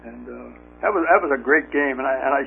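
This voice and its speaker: Fairly quick speech from a man, backed by music. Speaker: retired pinball machine designer. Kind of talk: interview. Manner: halting, many fillers and repetitions.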